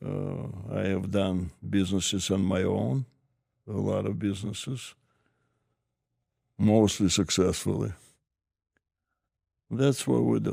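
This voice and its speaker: A man with a Russian accent speaks at a very slow pace, his pitch fairly low. His tone is dark and mellow, with ordinary pitch variation. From former Soviet Union. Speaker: business advisor. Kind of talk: interview. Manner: halting.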